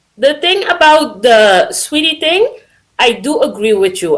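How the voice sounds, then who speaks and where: Speaking at a fairly slow pace with a non-native accent, the voice moves through very wide pitch swings. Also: woman. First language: not English. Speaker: caller. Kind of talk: casual call-in discussion. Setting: voice call via Discord.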